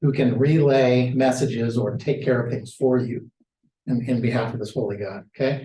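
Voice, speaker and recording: A man's medium-pitched voice, dark and mellow in tone, somewhat breathy, at a moderate pace. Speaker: Bible study teacher. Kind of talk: lecture. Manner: animated.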